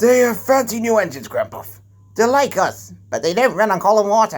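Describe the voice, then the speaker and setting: A man puts on a character voice at a high pitch. He delivers it at a fairly quick pace. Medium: read story.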